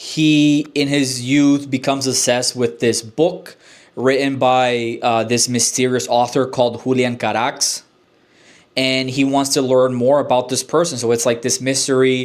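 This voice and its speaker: A man with a Spanish accent speaks at very even loudness. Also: medium pitch for a man, fairly even intonation. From Honduras. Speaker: book reviewer. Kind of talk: casual book review vlog. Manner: hesitant, many fillers and restarts.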